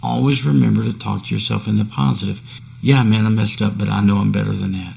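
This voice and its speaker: There is audible room echo and noticeable background noise as a man speaks fairly quickly at a fairly low pitch. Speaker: podcast host. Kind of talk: solo podcast talk on self-improvement. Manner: casual, conversational.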